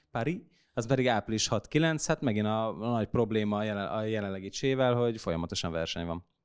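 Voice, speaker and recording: The background is quiet as a man talks. His pace is fairly quick and his intonation lively. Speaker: esports commentator; podcast host. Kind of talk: casual panel chat about gaming news. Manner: hesitant, many fillers and repetitions. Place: studio. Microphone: studio mic.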